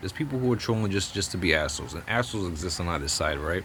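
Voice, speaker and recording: In an animated tone and a slight New Jersey accent, a man talks at a very fast pace over noticeable background noise. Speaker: political commentator vlogger. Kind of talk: opinion rant to camera. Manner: animated, stammering repetitions.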